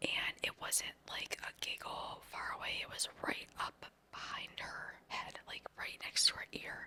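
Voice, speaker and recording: Whispering, a woman talks at a very slow pace. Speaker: ASMR creator. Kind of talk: whispered paranormal storytelling. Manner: whispered, soft-spoken.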